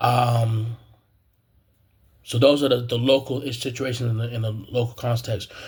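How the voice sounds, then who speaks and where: An American man speaks at a moderate pace in a monotone, flat intonation, somewhat breathy. He leaves long, frequent pauses. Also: medium pitch for a man. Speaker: graduate student, video blogger. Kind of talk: personal commentary monologue. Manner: halting, many fillers and repetitions.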